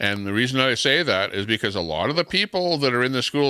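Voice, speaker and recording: A loud voice with a Canadian accent and a bright, sharp tone sounds dry and close, with no echo. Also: man. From Canada. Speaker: live stream host. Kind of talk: casual chat.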